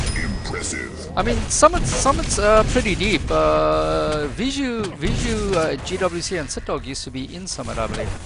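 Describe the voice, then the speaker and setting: A man's voice shows big swings in loudness, with audible room echo. Music plays in the background. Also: moderate pace, hardly any pauses. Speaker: esports shoutcaster. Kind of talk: live game commentary chat. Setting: voice chat server live stream. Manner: hesitant, repeats words.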